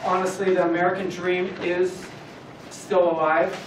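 A man's voice carries audible room echo. Light background noise sits behind it. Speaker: guest. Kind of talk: motivational talk. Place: classroom. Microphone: camera far.

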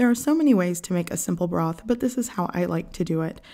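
The voice belongs to a woman, with a dark, mellow tone. Nothing much is heard behind her. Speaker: home cook channel host. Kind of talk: cooking tutorial narration. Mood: warm, friendly. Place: kitchen.

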